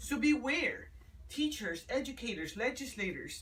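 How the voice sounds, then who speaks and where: A woman talks at a fairly slow pace. She has a slight Spanish accent. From United States. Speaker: student speaker on education. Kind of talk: presentation talk. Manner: hesitant, with repetitions.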